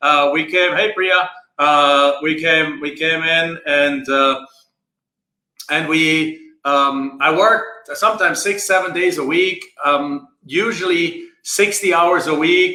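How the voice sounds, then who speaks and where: Speaking very slowly, a man with a fairly high pitch and a bright, sharp tone shows ordinary pitch variation amid audible room echo. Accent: German. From Germany. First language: German. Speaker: land investing coach. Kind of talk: live stream talk. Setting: Facebook live video. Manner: halting, many filler words.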